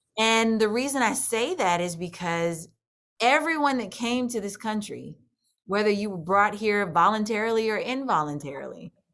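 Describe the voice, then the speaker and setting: This is an unremarkable speaking voice, a woman at medium pitch with an American accent. She talks at a moderate pace with lively intonation. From US Midwest, St. Louis, Missouri. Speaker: country singer. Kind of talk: interview. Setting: video call.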